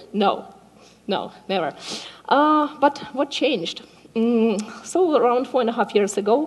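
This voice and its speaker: Speaking at a fairly slow pace, a woman uses a high pitch and lively intonation, leaving long, frequent pauses. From Ukraine. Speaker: software developer and community organizer. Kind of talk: conference talk. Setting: stage with audience. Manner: hesitant, many filler words.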